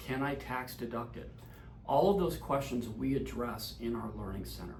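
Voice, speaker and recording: Moderate delivery from a man, amid noticeable background noise and audible room echo. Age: 60s. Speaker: insurance advisor. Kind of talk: direct-to-camera explainer.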